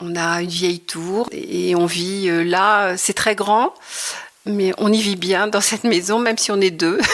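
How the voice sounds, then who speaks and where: A woman at medium pitch talks very slowly, her intonation fairly even. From Normandy, Le Havre. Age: 60s. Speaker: retired textile artist. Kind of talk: interview. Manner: hesitant, many fillers.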